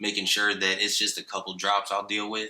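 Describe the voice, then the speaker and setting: With an American accent, the voice carries a bright, sharp tone. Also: man. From San Diego, California. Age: 20s. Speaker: operations manager and photographer, podcast guest. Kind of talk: casual chat.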